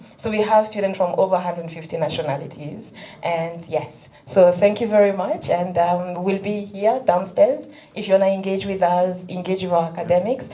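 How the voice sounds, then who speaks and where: Noticeable background noise surrounds a woman's voice. Audible room echo is present too. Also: medium pitch for a woman, ordinary pitch variation, moderate pace. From DR Congo. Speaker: university international officer. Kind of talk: introductory remarks at event.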